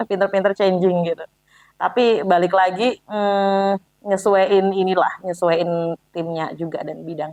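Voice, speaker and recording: An unremarkable speaking voice from a woman, medium in pitch, with fairly even intonation and a fairly slow pace. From Java, Indonesia. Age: young. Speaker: agency CEO and founder. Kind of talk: casual interview chat. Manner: relaxed, easy-going.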